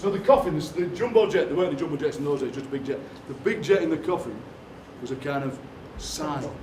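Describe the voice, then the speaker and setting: Amid noticeable background noise and audible room echo, a man talks at a very fast pace with long, frequent pauses and ordinary pitch variation. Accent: Yorkshire. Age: 60s. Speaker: poet. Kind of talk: live workshop performance. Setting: stage with audience. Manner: animated.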